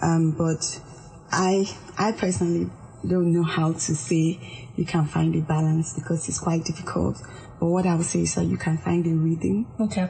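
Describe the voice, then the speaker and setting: At a moderate pace, a woman with fairly low pitch speaks with ordinary pitch variation and very even loudness. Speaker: organizational psychologist. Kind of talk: radio interview. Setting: studio. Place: studio.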